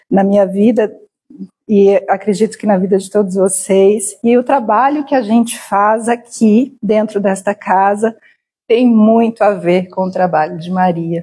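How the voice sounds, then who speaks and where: A woman's somewhat breathy voice with a dark, mellow tone, medium pitch, ordinary pitch variation and a very slow pace. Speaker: spiritist lecturer. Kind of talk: lecture. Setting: spiritist center hall with live audience and stream.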